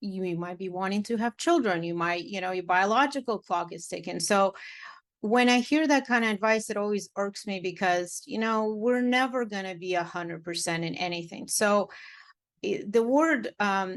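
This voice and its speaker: A woman with a Russian accent at a medium pitch and moderate pace, ordinary pitch variation, against a quiet background. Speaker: matchmaker and dating coach. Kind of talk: podcast interview. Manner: animated.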